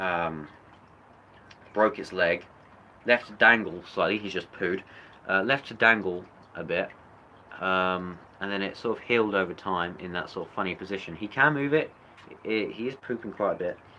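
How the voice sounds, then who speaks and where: Loud and fairly low-pitched, a man with a British accent speaks in a bright, sharp tone at a moderate pace, using ordinary pitch variation and long, frequent pauses. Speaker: reptile keeper youtuber. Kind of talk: livestream animal show-and-tell. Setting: indoor reptile room.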